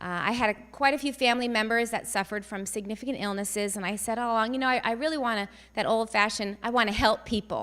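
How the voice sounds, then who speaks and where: Loud and bright with a sharp tone, a woman speaks at a fairly high pitch and fairly quick pace with ordinary pitch variation. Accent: American. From New Jersey, then Northwest Indiana. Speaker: family physician. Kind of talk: public speech. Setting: stage with audience, microphone.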